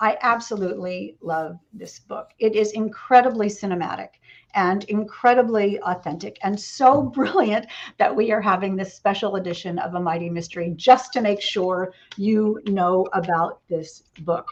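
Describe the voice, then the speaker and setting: A woman's put-on character voice, raspy and medium in pitch, at a moderate pace with big swings in loudness. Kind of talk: enthusiastic. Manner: fast talking.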